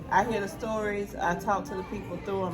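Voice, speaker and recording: Music plays in the background while a woman speaks at a fairly quick pace. Room echo is audible. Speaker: friendship podcast co-host. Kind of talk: casual chat. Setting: in person on a couch. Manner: loud; animated. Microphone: no mic on.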